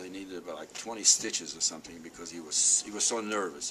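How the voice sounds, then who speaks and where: Noticeable background noise sits behind a man's very deep, low voice, which has ordinary pitch variation. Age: 80s+. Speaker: Holocaust survivor speaker. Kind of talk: talk to school students.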